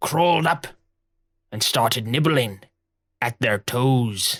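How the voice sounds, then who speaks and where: A raspy, theatrical put-on character voice from a man. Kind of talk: pirate storytelling. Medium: actual play. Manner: gruff, theatrical.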